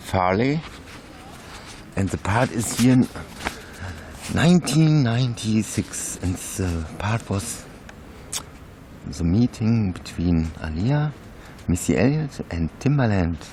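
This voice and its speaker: Over noticeable background noise, a man with a fairly low pitch talks at a very slow pace, his pitch swinging very widely between long, frequent pauses. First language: not English. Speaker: YouTuber. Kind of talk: reading aloud. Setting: outdoors. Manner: halting.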